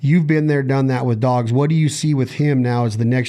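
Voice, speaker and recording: Noticeable background noise fills the recording. A man talks with fairly even intonation. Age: 40s. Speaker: podcast host. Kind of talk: podcast interview.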